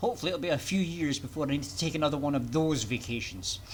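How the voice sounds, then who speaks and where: Very fast speech in a Scottish accent. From Scotland. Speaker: VTuber game streamer. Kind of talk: live gameplay commentary. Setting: live stream at home PC. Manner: casual, hesitant with fillers.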